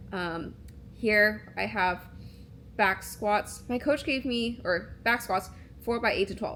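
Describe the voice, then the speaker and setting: With vocal fry and ordinary pitch variation, a woman speaks at a fairly slow pace. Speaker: vlogger and videographer. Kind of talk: casual vlog voiceover. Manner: many filler words and pauses; casual, conversational.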